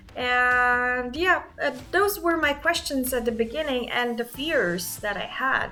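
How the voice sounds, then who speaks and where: With music in the background, a woman with a high voice and a non-native accent speaks at a fairly slow pace, with lively intonation and hardly any pauses. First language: not English. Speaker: YouTuber. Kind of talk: casual talk to camera. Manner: hesitant, many fillers.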